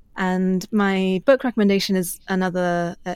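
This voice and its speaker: A woman with a British accent speaks at a fairly slow pace with fairly even intonation and medium pitch, in a very clean recording with a silent background. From UK, moved from China at age four. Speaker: journalist. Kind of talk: interview.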